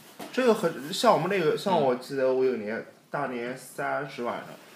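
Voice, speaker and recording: A moderate pace in a Beijing accent. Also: man. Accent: sounds like Beijing Mandarin today. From Jiangning, Nanjing, China. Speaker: podcast co-host. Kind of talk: casual chat. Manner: speaking standard Mandarin on purpose.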